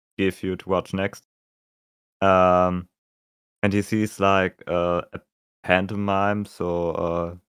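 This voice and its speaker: In a German accent, a man with a very deep, low pitch speaks very slowly in a monotone, flat way with long, frequent pauses, the sound dry and close with no echo on a very clean recording with a silent background. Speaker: musician co-host. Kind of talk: casual chat. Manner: halting.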